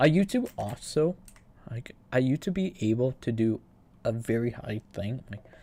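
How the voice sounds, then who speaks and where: At a moderate pace, a man speaks in a dark, mellow, somewhat breathy voice of medium pitch with lively intonation. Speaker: gaming streamer. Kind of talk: casual livestream chat. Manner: halting, repeats words.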